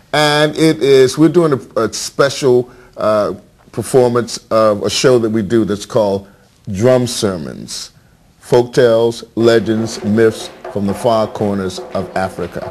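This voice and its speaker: With an American accent, a man talks at medium pitch and a fairly slow pace with lively intonation. Noticeable background noise is present. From Virginia, US. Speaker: storyteller and performing arts educator. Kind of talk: interview.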